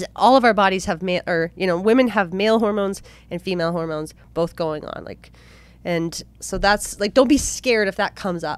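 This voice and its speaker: Speaking at a fairly quick pace, a woman shows big swings in loudness and ordinary pitch variation in a dry sound with no echo. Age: 30s. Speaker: podcast co-host. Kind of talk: casual chat. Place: studio. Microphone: studio mic.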